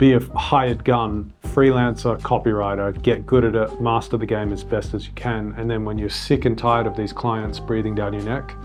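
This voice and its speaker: With music in the background, a man talks at a moderate pace with hardly any pauses. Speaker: entrepreneur and business vlogger. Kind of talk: casual advice talk.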